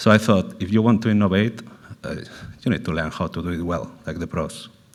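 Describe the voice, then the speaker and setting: In a Spanish accent, a man speaks at a fairly quick pace with a very deep, low pitch and fairly even intonation. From Spain. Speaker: panel speaker, food sector executive. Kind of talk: panel talk. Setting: roundtable event.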